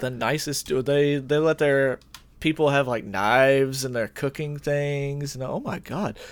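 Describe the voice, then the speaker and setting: A man talks at a fairly high pitch in an ordinary speaking voice. His pace is fairly slow and his intonation fairly even. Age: 30s. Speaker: podcast co-host. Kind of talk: casual chat.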